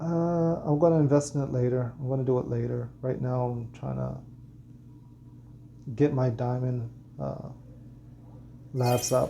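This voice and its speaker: Fairly slow speech from a man, broken by long, frequent pauses, with audible room echo. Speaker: gaming content creator. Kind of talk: gaming tutorial. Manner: monotone; halting, many fillers and repeats.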